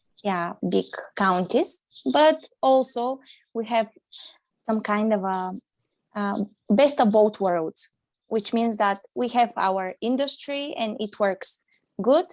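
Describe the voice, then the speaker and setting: Pausing long and often, a woman with a non-native accent speaks at a very slow pace in a fairly high voice with lively intonation, on a very clean recording with a silent background. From Bulgaria. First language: Bulgarian. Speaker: primary school teacher. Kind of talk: interview. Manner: halting.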